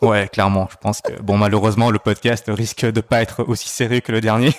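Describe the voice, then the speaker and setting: A man speaks at fairly low pitch in a monotone, flat intonation. The sound is dry and close with no echo, and there is noticeable background noise. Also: fairly quick pace. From Belgium, Brussels. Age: 30s. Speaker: podcast guest. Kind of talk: casual chat. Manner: hesitant, many fillers.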